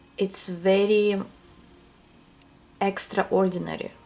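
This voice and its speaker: A woman is the speaker. Her speech carries a non-native accent. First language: not English. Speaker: tarot reader. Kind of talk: pick-a-card tarot reading to camera. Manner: hesitant, many fillers.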